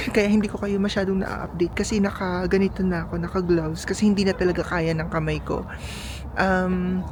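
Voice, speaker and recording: Speech comes at a fairly quick pace with audible room echo. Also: woman. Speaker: travel vlogger. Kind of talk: casual vlog narration. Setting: outdoors. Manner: animated; halting.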